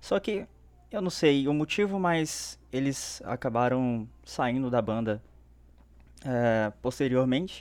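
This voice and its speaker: Very slow speech from a man at medium pitch, lively intonation, long and frequent pauses, on a very clean recording over a silent background. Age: 20s. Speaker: fan page creator. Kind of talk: casual chat.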